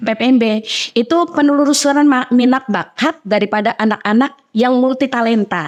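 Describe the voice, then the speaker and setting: A woman's high-pitched voice at very even loudness. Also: ordinary pitch variation, moderate pace. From Central Java, Indonesia. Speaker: women's religious organization leader and preacher. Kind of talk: podcast interview.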